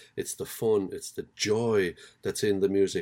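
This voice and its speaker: With an Irish accent, the voice has a dark, mellow tone on a very clean recording with a silent background. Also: man. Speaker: podcast host. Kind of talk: interview.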